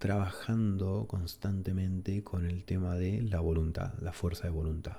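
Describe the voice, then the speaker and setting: A somewhat breathy voice with a dark, mellow, relaxed tone speaks at a fairly slow pace, its pitch rising and falling in an ordinary way. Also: man. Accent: Argentine. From Argentina. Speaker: ASMR creator. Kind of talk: casual talk to camera, relaxed chat. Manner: soft-spoken, relaxed, reflective.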